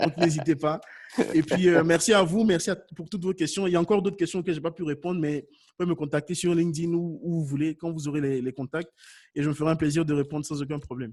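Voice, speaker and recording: This man talks at a very fast pace in a fairly high pitch, his tone animated. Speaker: YouTube consultant for businesses. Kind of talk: webinar Q&A. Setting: online webinar.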